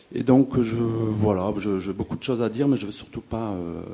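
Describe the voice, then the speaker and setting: This man talks at a moderate pace with a fairly low pitch and ordinary pitch variation. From Toulouse, France (Le Mirail). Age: 40s. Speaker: audience member. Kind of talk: audience question at public debate. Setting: festival debate hall with audience.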